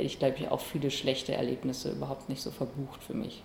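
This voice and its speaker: A woman talks very fast in a monotone, flat intonation over noticeable background noise. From Bielefeld, Germany. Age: 20s. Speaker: comedian and musician. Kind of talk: interview.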